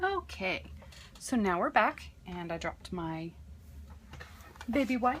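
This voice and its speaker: Soft-spoken and very slow, a woman talks with long, frequent pauses and big swings in loudness. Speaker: crafter. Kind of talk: tutorial. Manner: casual, hesitant with fillers.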